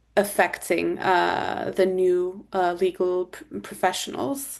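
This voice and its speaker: Over a quiet background, a woman speaks at a very slow pace. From Turkey. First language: Turkish. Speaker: corporate lawyer. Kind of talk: interview answer.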